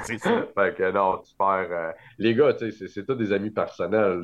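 A man's voice with ordinary pitch variation. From Quebec, Montreal. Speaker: trading card show organizer. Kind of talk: casual chat.

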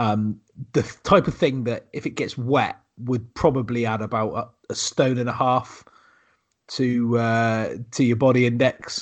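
A man's medium-pitched voice with a West Country accent, fairly even intonation and a fairly slow pace.

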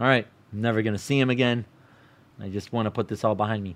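A man speaks at a fairly quick pace in an American accent. His pitch is fairly low and his intonation fairly even. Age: 30s. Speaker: storyteller. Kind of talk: personal storytelling.

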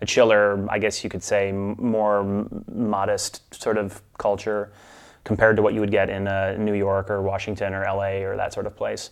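A man with a US Midwestern accent talks at a fairly quick pace in a fairly low voice. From Milwaukee, US Midwest. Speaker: expat spouse. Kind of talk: casual interview.

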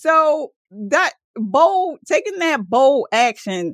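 A woman with a Baltimore accent, an animated tone and lively intonation, in a dry, close sound with no echo. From Baltimore, Maryland. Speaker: entrepreneur and former paramedic. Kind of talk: interview conversation.

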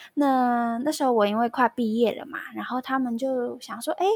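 A woman speaks at a moderate pace with a Taiwanese accent. Her pitch is high with ordinary variation, and the sound is dry and close with no echo. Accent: Taiwanese Mandarin. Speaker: music graduate, former exchange student. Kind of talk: casual interview.

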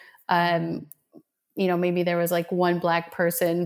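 The speaker has a plain, everyday voice at a moderate pace. The recording is very clean, with a silent background. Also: woman. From Colombia, raised in Minnesota from age seven. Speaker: energy healer. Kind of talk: casual interview chat.

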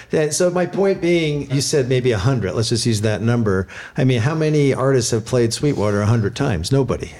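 Speaking at a very fast pace, a man with a medium pitch uses lively intonation and very even loudness over noticeable background noise. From San Francisco. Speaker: podcast host. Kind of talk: casual interview. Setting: guest's home.

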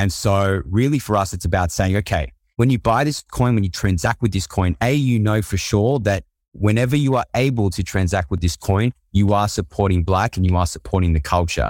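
Speaking with an Australian accent at a fairly quick pace, the voice has lively intonation in a very clean recording with a silent background and a dry, close sound with no echo. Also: man, fairly low pitch for a man, very even loudness. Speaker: startup co-founder. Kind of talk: casual interview.

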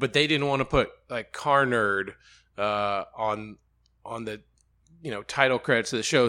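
A man talks at a medium pitch with ordinary pitch variation and a moderate pace. His tone is bright and sharp, on a very clean recording with a silent background. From Alabama, Birmingham. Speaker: TV sports features reporter. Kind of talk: casual interview chat. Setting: office trailer at the race track.

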